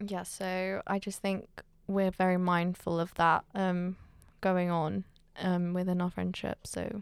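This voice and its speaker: A woman with a British accent speaks at a medium pitch in a monotone, flat intonation. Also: very clean recording, silent background. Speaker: podcast co-host. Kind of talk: casual chat.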